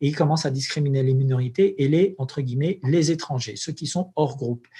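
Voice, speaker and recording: On a very clean recording with a silent background, a man with a fairly high pitch sounds somewhat breathy, his tone dark and mellow. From Algeria. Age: 40s. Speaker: imam and anthropologist. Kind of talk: interview. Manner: halting.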